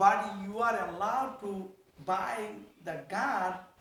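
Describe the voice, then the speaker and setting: A man with a strong non-native accent speaks at a fairly slow pace with fairly even intonation. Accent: thick foreign. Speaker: state senator. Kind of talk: interview answer.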